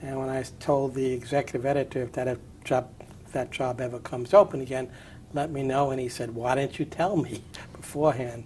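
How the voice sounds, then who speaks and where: With an American accent, a man speaks at a medium pitch and a fairly quick pace. His intonation stays fairly even. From New York City (Brooklyn). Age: 60s. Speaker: retired journalist, newspaper editor. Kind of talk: oral history interview. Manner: halting, many fillers.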